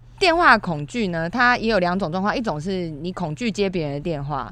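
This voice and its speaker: In a normal speaking voice, a woman talks with a fairly low pitch and lively intonation. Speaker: podcast co-host. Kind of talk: casual chat. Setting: studio.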